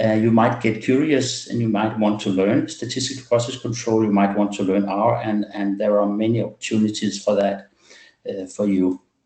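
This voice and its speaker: The speaker has a non-native accent and a dark, mellow tone, talking at a moderate pace in a monotone, flat intonation. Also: man, fairly low pitch for a man. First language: not English. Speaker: medical doctor presenting a webinar. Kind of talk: webinar presentation. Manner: halting, many fillers.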